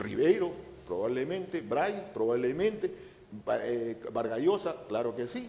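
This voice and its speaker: A man with a high pitch at a fairly slow pace, with very wide pitch swings. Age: 70s. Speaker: historian. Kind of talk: interview. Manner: halting.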